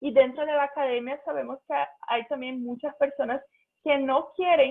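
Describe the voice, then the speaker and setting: A woman's high pitch in a Portuguese accent, with fairly even intonation. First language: Portuguese (speaking Spanish). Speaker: physicist, invited speaker. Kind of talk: talk in online seminar. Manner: halting.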